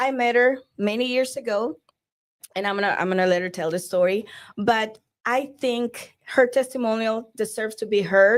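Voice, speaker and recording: A woman with a Spanish accent speaks at a fairly high pitch with fairly even intonation in a very clean recording with a silent background. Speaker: divorce coach. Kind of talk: podcast interview. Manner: halting.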